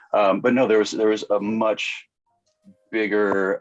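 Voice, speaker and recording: A man recorded dry and close with no echo, music in the background. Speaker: cosplayer. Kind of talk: casual chat. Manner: loud; halting.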